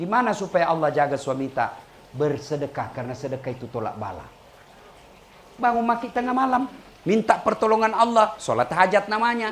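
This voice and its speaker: A man with a high pitch speaks at a fairly quick pace, his pitch swinging very widely. Noticeable background noise is present. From Makassar, South Sulawesi. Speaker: Islamic preacher. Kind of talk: humorous religious sermon. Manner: humorous.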